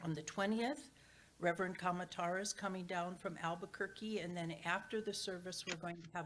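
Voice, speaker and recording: Ordinary pitch variation at a fairly quick pace. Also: woman. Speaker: church board trustee giving announcements. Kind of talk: church announcements. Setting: church sanctuary, also streamed on Zoom. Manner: loud.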